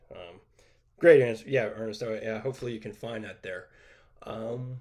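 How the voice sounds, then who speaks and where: Speaking at a medium pitch with fairly even intonation, a man lets his loudness swing widely. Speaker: bathroom remodeling teacher. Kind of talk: live stream Q&A. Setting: live stream. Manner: fast.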